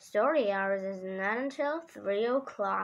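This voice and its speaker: A woman's put-on character voice, medium in pitch, with lively intonation and a fairly slow pace. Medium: read story. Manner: stern.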